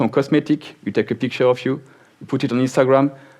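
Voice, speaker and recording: This man talks at a medium pitch with a French accent. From France. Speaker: software company speaker. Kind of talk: conference talk.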